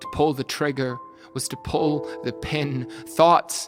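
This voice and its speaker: Over music in the background, a man talks at a fairly slow pace. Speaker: spoken word poet. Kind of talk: personal true story told as poem.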